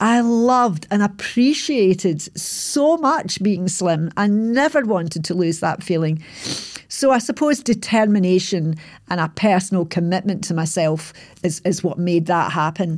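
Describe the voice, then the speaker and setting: This woman has an unremarkable speaking voice at a medium pitch. She speaks at a fairly slow pace with lively intonation. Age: 60s. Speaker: podcaster telling life story. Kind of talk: reflective monologue recap. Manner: reflective, conversational, self-deprecating.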